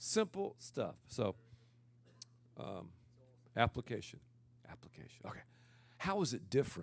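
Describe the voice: This loud voice has vocal fry, a slightly husky edge and very wide pitch swings. It unfolds at a fairly slow pace on a very clean recording with a silent background. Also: man, medium pitch for a man.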